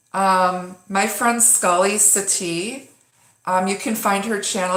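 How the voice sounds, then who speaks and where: Speaking at a very slow pace, a woman with a medium pitch keeps a fairly even intonation, and the room echo is audible. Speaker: tarot reader. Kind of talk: live-streamed tarot reading. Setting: home live stream. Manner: casual, halting with many fillers.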